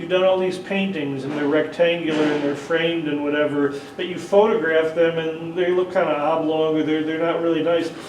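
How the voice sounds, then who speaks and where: A man's fairly high pitch in monotone, flat intonation, with audible room echo and noticeable background noise. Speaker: 3D photography workshop presenter. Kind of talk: workshop tutorial with live demonstration. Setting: convention workshop room with audience; PA system. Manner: loud; casual, with frequent hesitations.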